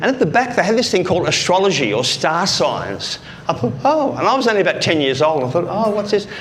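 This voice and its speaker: The speaker's lively intonation comes through audible room echo and noticeable background noise. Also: man. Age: 60s. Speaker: speaking coach. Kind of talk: motivational talk. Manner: animated.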